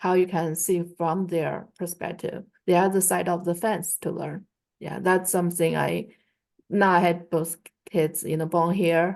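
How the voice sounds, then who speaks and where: A woman's fairly low voice with vocal fry and a Chinese accent, monotone and flat in intonation, at a fairly slow pace. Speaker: Chinese language teacher. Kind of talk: online class discussion. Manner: halting, many fillers.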